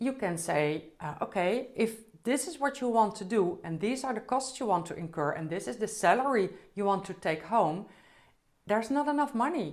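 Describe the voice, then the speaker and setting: The room echo is audible as a woman speaks in a fairly high voice. Her intonation is lively and her pace moderate. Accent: Dutch. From Netherlands. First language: Dutch. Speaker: business trainer, CEO. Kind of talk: conference talk. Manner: slightly halting.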